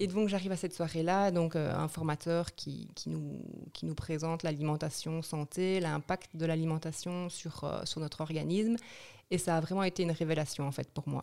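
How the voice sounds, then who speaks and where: A woman speaks at a moderate pace, her fairly low voice dark and mellow in tone. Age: 40s. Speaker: nutrition therapist. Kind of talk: interview.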